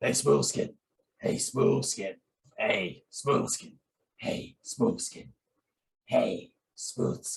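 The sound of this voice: A man's put-on character voice, raspy and breathy, at a very slow pace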